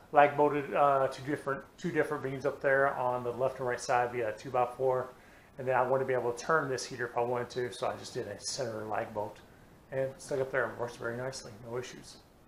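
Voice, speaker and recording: Speaking very fast, a man holds a monotone, flat intonation. Audible room echo and light background noise surround him. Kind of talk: tutorial. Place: garage. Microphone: phone near.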